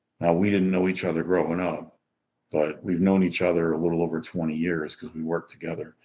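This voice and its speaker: In a relaxed tone, a man speaks with a very deep, low pitch and monotone, flat intonation. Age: 60s. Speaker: retiree. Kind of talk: casual livestream talk to camera. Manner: relaxed, rambling, many fillers.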